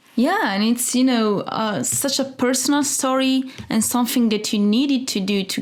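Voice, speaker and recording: Over noticeable background noise, a woman with an Italian accent speaks at a moderate pace with hardly any pauses, keeping a high pitch, fairly even intonation and very even loudness. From Italy. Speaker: interviewer, show host. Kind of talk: interview. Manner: halting.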